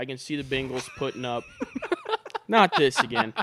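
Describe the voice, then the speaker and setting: A man with a plain, everyday voice and a fairly high pitch talks at a moderate pace in a very clean recording with a silent background. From Canada. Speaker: podcast co-host. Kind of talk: casual chat. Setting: studio.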